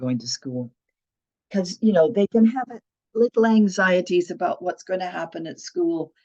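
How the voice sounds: A woman speaks at a moderate pace with a fairly low pitch. Her tone is dark and mellow.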